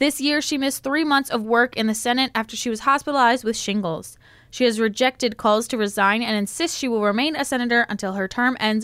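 Fairly quick and fairly high-pitched, a woman talks with ordinary pitch variation in an unremarkable speaking voice. The recording is very clean, with a silent background. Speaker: student radio news anchor. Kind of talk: newsreading, crisp and polished, steady broadcast delivery of national headlines. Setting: studio. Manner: formal, measured.

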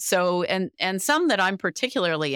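Moderate pace with very wide pitch swings. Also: woman. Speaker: podcast host and math professor. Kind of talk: interview, host questioning a guest. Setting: remote interview, guest joins from abroad.

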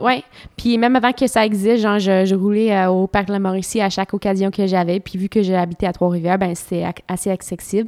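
Here a woman with a plain, everyday voice speaks at medium pitch and a fairly quick pace, with fairly even intonation. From Ontario, Canada. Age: 30s. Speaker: professional cyclist. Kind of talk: interview. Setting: at home.

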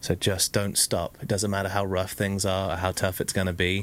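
The speaker has an English accent. The intonation stays monotone and flat. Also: man. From UK. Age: 30s. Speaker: entrepreneur. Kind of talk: casual chat.

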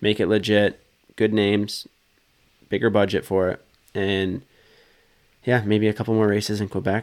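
A man speaks at a moderate pace in a fairly low pitch, his intonation monotone and flat, with long, frequent pauses. The recording is very clean, with a silent background. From British Columbia, western Canada. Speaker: professional motocross racer. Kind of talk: casual chat. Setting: studio.

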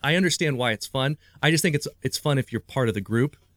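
In a Midwestern American accent, a man speaks at a very fast pace with a fairly high pitch. The sound is dry and close, with no echo. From Ohio, US Midwest. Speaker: magician. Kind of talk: casual chat. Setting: video call.

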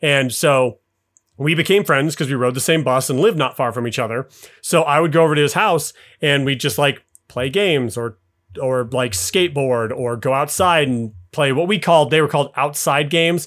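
In a normal speaking voice, a man with an American accent talks at a moderate pace and a fairly high pitch, with ordinary pitch variation. The recording is very clean with a silent background. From US, Utah (Salt Lake City). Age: 30s. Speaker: podcast guest, gamer. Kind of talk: casual chat.

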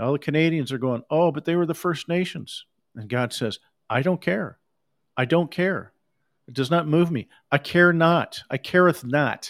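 This man talks at a moderate pace with a fairly high pitch and ordinary pitch variation, on a very clean recording with a silent background and a dry, close sound with no echo. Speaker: preacher. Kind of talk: sermon. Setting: livestream with recording software. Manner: animated.

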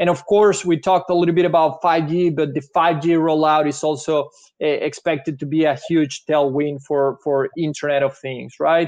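A man with a strong Venezuelan accent and a fairly high voice speaks at a moderate pace with fairly even intonation and hardly any pauses. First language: Spanish. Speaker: technology investment analyst. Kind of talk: webinar presentation. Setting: video call.

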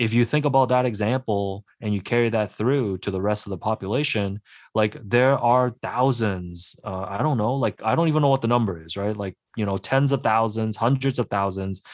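A man with a Canadian accent and an ordinary speaking voice, medium pitch with ordinary pitch variation, at a moderate pace, in a very clean recording with a silent background and a dry, close sound with no echo. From Hong Kong, then Markham, Ontario. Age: 30s. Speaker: sports journalist and author. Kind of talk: radio interview.

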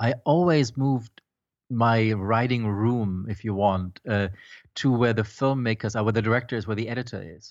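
Speaking with a German accent, a man uses a medium pitch. He keeps a moderate pace with ordinary pitch variation. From Germany. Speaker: film composer and startup founder. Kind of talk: interview.

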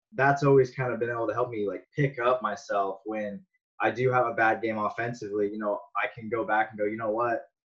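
A man with a medium-pitched, normal speaking voice and an American accent. He talks at a fairly quick pace with fairly even intonation. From Las Vegas, Nevada, US. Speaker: professional baseball player. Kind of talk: casual interview.

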